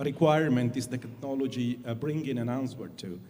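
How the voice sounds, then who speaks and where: A man speaks with an Italian accent. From Italy. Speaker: satellite industry executive. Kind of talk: panel discussion. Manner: halting, many fillers.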